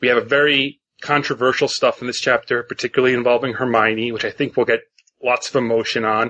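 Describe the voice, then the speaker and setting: Here a man speaks with a northeastern US accent. He talks at a very fast pace. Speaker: podcast host.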